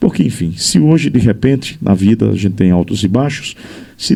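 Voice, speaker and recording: This man's voice is booming and fairly low in pitch. Its tone is dark and mellow. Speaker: journalist and radio broadcaster. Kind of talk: interview conversation.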